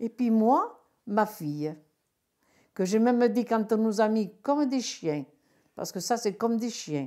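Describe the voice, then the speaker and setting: This woman speaks at a moderate pace. Her pitch sits fairly high. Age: 60s. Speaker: retired bingo caller. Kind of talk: testimony. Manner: clear-spoken; halting.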